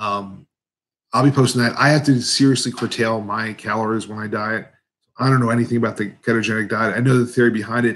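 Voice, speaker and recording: This man mumbles with an American accent at a medium pitch. His intonation is monotone and flat, and his pace fairly quick. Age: 50s. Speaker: competitive eater and YouTuber. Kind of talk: live Q&A stream. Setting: live stream. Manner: mumbling, words blended together; casual, halting with fillers.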